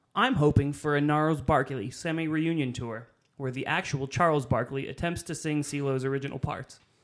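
An unremarkable speaking voice from a man, fairly high in pitch, with fairly even intonation and a moderate pace, in a very clean recording with a silent background. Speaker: podcast co-host. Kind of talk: casual banter.

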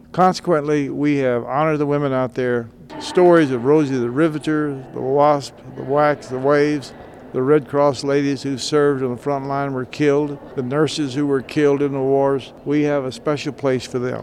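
Noticeable background noise runs behind a man speaking at a moderate pace. His fairly high voice stays monotone and flat. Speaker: retired army colonel, war veteran. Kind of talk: interview.

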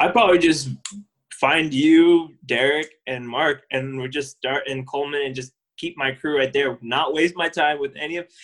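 With an unremarkable speaking voice, a man talks at a fairly high pitch and a moderate pace, keeping his intonation fairly even. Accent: American. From Southern California, Orange County. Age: 30s. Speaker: podcast co-host, accountant. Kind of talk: casual chat.

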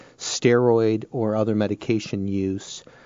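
This is an ordinary speaking voice from a man, pitched fairly low. His pitch varies in an ordinary way. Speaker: radiologist. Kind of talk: radio interview.

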